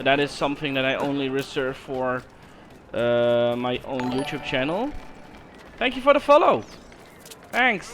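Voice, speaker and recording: Speaking at a moderate pace with a Dutch accent, a man with a fairly high voice uses ordinary pitch variation and long, frequent pauses against noticeable background noise. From Netherlands. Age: 20s. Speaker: gaming streamer. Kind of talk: casual chat. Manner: halting, repeats words.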